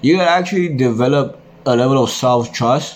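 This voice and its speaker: A man's lively intonation comes through noticeable background noise and audible echo from the room. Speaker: men's self-improvement vlogger. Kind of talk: casual monologue vlog. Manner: casual, filler-heavy slangy talk.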